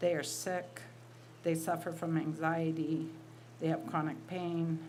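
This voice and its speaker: With audible room echo, a woman speaks very slowly at a fairly low pitch with fairly even intonation. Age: 60s. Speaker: writer and college teacher. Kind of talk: reading aloud.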